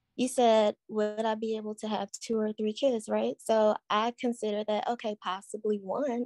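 Here a woman with a normal speaking voice talks at a fairly high pitch and moderate pace with hardly any pauses, the sound dry and close with no echo. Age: 30s. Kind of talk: call-in conversation.

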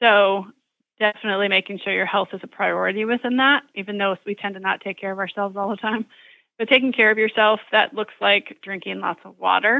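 A woman with an unremarkable speaking voice talks at a fairly quick pace in a medium pitch, her intonation fairly even and her loudness swinging widely. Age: 30s. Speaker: chiropractor. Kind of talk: interview.

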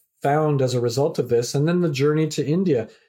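On a very clean recording with a silent background, a man's fairly high, somewhat breathy voice moves with lively intonation at a moderate pace. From Canada. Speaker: professor and community activator. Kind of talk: podcast interview.

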